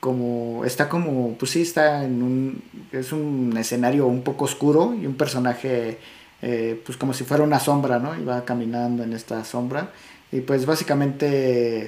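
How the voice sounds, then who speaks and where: A man speaks at a fairly slow pace, his pitch medium and his intonation fairly even. His is a plain, everyday voice. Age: 30s. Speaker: podcast host. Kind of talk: casual chat.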